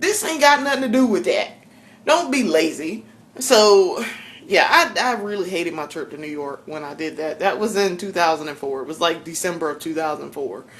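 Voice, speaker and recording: A woman with a strong Southern US accent speaks at a medium pitch in an animated tone, her pitch swinging very widely. Her loudness rises and falls in big swings against noticeable background noise. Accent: strong Southern drawl. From South Carolina. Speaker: vlogger. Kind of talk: casual vlog monologue. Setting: home kitchen.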